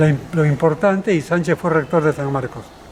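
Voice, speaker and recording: Against noticeable background noise, a high-pitched man speaks at a fairly quick pace with ordinary pitch variation. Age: 80s+. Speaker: cultural manager and historian. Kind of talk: interview.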